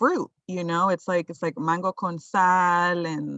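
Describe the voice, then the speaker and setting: A woman with a plain, everyday voice speaks fairly slowly at a fairly low pitch. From Colombia, moved to US at about ten. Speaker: urban farmer. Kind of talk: casual interview.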